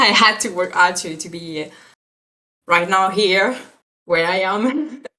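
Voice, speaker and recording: A woman's medium-pitched, lively voice at a very slow pace, with long, frequent pauses and audible room echo. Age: 20s. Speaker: 3D character effects artist. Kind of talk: casual interview. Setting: live stream video call. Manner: halting, hesitant.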